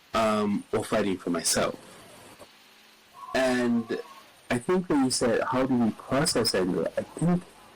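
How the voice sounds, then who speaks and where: Music plays in the background as a man speaks fairly slowly with long, frequent pauses. His loudness is very even while his intonation stays lively. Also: medium pitch for a man. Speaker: podcast guest, community advocate. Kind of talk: interview conversation. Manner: gentle, quiet; halting.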